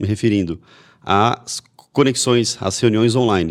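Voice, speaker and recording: The recording is very clean, its background silent. A man talks in a normal speaking voice at a moderate pace, with ordinary pitch variation. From Brazil, Mogi Mirim, São Paulo state. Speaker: podcast host. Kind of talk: podcast interview.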